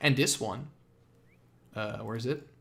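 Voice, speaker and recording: At a moderate pace and medium pitch, a man with a Dutch accent speaks in a very clean recording against a silent background. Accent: Dutch accent, noticeable. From Netherlands. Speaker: gaming streamer. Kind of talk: live game reaction stream. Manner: halting, many fillers.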